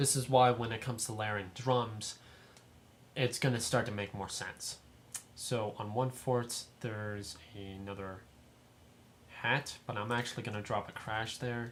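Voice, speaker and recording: A man at a medium pitch and fairly slow pace, fairly even in intonation, with long, frequent pauses. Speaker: music production tutor. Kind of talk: tutorial.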